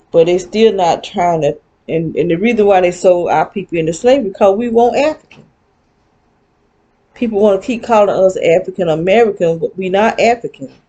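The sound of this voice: A woman speaks at a medium pitch with a dark, mellow tone. Her pace is fairly quick and her pitch varies in an ordinary way.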